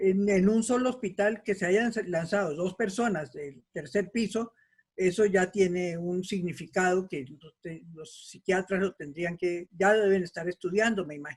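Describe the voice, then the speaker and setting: A woman speaks at a fairly slow pace and medium pitch, somewhat breathy, with ordinary pitch variation. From Colombia. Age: 70s. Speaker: participant in community discussion. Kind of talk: casual discussion.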